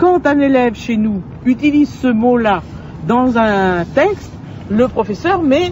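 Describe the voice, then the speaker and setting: This woman's voice sits high and swings very widely in pitch. She talks very slowly over noticeable background noise. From France, Poitou. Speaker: storyteller and regional language advocate. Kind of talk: interview. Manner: halting, many hesitations.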